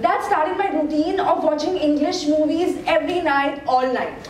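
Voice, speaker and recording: Noticeable background noise sits under this recording. A woman speaks at a fairly slow pace with ordinary pitch variation. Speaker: TEDx speaker. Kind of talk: TEDx talk. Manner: humorous, conversational.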